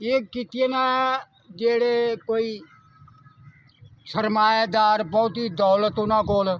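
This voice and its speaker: A man talks at a high pitch with fairly even intonation. His loudness stays very even. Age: old. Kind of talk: interview answer. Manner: simple, earnest.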